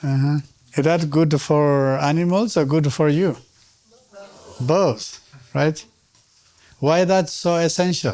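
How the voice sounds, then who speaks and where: Speaking very slowly with long, frequent pauses, a man with a Tibetan accent has a dark, mellow tone, a fairly high pitch, ordinary pitch variation and very even loudness. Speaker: Tibetan medicine teacher. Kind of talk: lecture. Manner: interactive, questioning audience.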